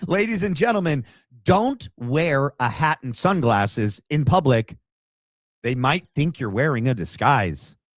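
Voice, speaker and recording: Recorded very cleanly against a silent background, a man speaks at a fairly slow pace and fairly high pitch with very wide pitch swings, in a dry, close sound with no echo. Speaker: political commentary livestream host. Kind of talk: livestream commentary reacting to clips. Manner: animated.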